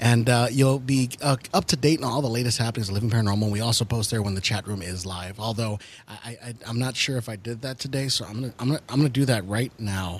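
A man speaking very fast, somewhat breathy, with ordinary pitch variation and hardly any pauses. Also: medium pitch for a man. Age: 30s. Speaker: paranormal podcast co-host. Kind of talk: casual chat.

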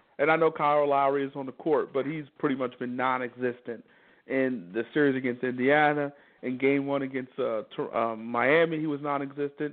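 A man speaks in an unremarkable speaking voice, with a fairly high pitch and fairly even intonation. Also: fairly quick pace. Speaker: sports talk radio host. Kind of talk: casual sports talk.

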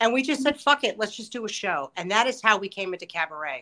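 Lively intonation from a woman talking at a fairly quick pace, with music in the background. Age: 50s. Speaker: cabaret performer and booking manager. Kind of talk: casual interview chat.

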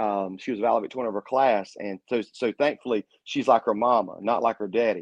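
A man with an American accent speaks in a normal speaking voice at a medium pitch. His pace is fairly quick and his intonation fairly even. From Eastern North Carolina. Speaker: pastor. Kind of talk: casual interview with preaching.

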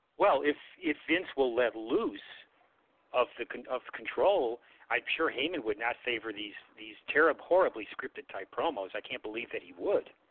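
Using a normal speaking voice, a man with an American accent speaks at a medium pitch and a moderate pace, with lively intonation and big swings in loudness. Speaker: wrestling podcast co-host. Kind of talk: casual chat. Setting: phone call.

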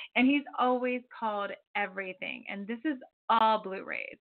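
A woman's voice with ordinary pitch variation and an American accent. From Florida. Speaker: psychic radio host. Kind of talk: call-in radio show. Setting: phone call.

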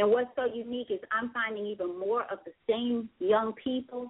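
This woman has a plain, everyday voice, pitched fairly high, and talks at a moderate pace. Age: 40s. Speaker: radio show host. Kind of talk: call-in radio talk show.

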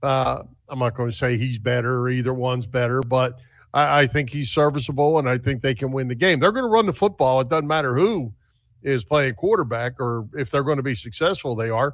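A man with a plain, everyday voice, medium pitch, ordinary pitch variation, an American accent and a fairly quick pace, on a very clean recording with a silent background. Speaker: sports radio host. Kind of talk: casual sports talk. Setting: studio, streamed live on Facebook.

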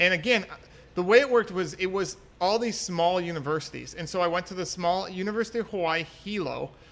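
With an American accent, a man speaks at a very fast pace in a high pitch with ordinary pitch variation. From Wisconsin, US Midwest. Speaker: world traveler and dentist. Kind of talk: casual interview chat. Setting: bar.

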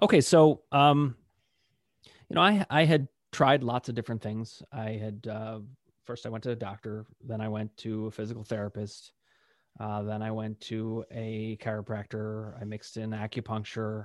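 With an ordinary speaking voice, a man talks at medium pitch and a moderate pace, his intonation fairly even and his loudness swinging widely, over a quiet background. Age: 40s. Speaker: pain psychologist. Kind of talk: interview.

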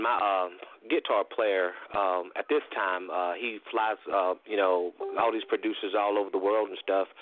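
This man's voice sits fairly low in pitch, with ordinary pitch variation. He speaks at a moderate pace. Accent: North Carolina. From US South, North Carolina (Lincolnton). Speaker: country singer-songwriter. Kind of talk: radio interview.

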